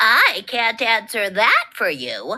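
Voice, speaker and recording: A female-sounding voice uses a put-on character voice at a fairly high pitch. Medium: read story.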